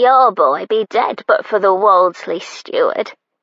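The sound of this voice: Speaking at a fairly slow pace, a female-sounding put-on character voice sits fairly high in pitch.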